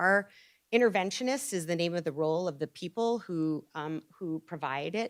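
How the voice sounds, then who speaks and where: At a moderate pace, a woman uses an ordinary speaking voice with a fairly low pitch, in a very clean recording with a silent background. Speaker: pediatric psychologist presenter. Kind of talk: lecture. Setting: hospital grand rounds presentation.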